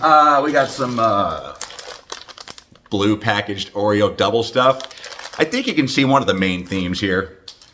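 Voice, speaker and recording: Noticeable background noise sits behind speech that is fairly slow, with ordinary pitch variation. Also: man, medium pitch for a man. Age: 50s. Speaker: hockey fan making a greeting video. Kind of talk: casual greeting video. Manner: halting, many fillers.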